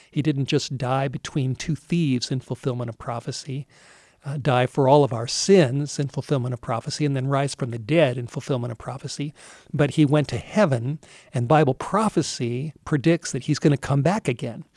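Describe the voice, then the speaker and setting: A man with an American accent speaks at a moderate pace in a somewhat breathy, fairly high voice with ordinary pitch variation, the sound dry and close with no echo. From Southern California. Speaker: pastor. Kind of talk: sermon.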